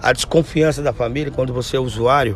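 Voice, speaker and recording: A man speaks over noticeable background noise. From Brazil, Mogi das Cruzes, São Paulo state. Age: 40s. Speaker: homeless man, recycling worker. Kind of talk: interview testimony. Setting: outdoors at a street camp.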